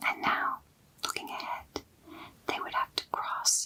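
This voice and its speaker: A woman whispering at a fairly slow pace over noticeable background noise. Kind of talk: bedtime story reading. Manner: whispered.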